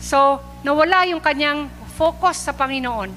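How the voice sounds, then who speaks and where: Over noticeable background noise, a woman speaks in a warm, animated tone. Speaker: preacher. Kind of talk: sermon, preaching in Taglish to a live church congregation. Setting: church, live recording before a congregation. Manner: earnest and warm, with frequent 'uh' fillers and polite 'po' phrasing; animated, urging and exhorting the congregation.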